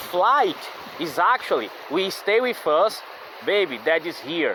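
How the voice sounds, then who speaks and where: A high-pitched man with a non-native accent, long, frequent pauses and noticeable background noise. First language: not English. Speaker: vlogger. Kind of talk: casual monologue. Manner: halting, many fillers and repetitions.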